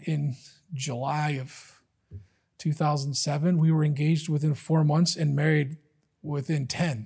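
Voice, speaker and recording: On a very clean recording with a silent background, a man speaks at a moderate pace in a fairly high pitch, with a somewhat breathy voice and a dark, mellow tone. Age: 40s. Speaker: lay preacher. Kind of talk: sermon. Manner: halting.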